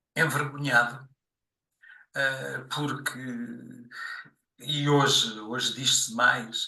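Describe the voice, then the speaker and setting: At a very slow pace and medium pitch, a man speaks in a monotone, flat way with long, frequent pauses and audible room echo. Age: 60s. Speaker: podcast guest. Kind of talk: interview, life story. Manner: halting, many fillers.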